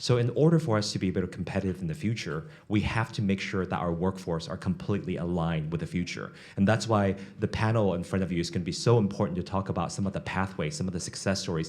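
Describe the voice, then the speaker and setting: A man speaks very fast with a very deep, low pitch. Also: ordinary pitch variation. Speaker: economic development executive, panel moderator. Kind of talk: panel moderation at a business forum. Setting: conference stage with audience.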